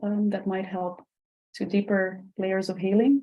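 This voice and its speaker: At a moderate pace, a woman speaks with a Dutch accent. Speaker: podcast host. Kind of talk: interview. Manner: halting.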